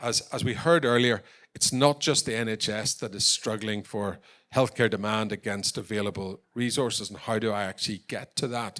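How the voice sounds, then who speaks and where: Here a man speaks with a Northern Irish accent. His voice is fairly low in pitch, with fairly even intonation. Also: moderate pace. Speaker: tech company founder and export champion. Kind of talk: conference presentation.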